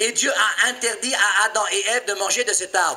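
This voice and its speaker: Over noticeable background noise, a man talks in a raised, projected voice that carries audible room echo. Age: 50s. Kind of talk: sermon. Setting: church. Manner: animated.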